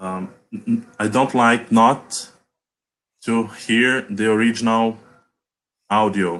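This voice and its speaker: A man with a Portuguese accent speaks at a very slow pace and medium pitch. He leaves long, frequent pauses. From Brazil. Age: 20s. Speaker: English learner. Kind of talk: online language lesson conversation. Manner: halting, many fillers and repetitions; quiet.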